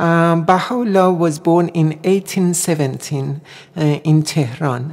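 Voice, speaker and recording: A woman with a Persian accent speaks at a fairly slow pace and a fairly low pitch. She keeps very even loudness and ordinary pitch variation. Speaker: singer and Baha'i guest. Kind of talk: radio interview.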